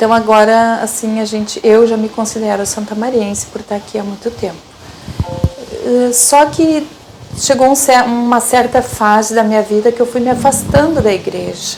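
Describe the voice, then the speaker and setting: Over music in the background, a woman speaks at a moderate pace with a fairly high pitch and fairly even intonation. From southern Brazil, Rio Grande do Sul interior. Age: 60s. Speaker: lay catechist and traffic documentation clerk. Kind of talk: personal testimony. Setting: her office. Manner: halting, many repetitions and fillers.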